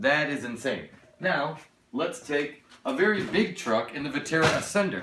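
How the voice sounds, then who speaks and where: Sounding excited and animated, a man talks at a fairly slow pace in a fairly high pitch with lively intonation, and room echo is audible. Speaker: RC hobby YouTuber. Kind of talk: unboxing review. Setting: home studio. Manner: halting, stuttering; excited, animated.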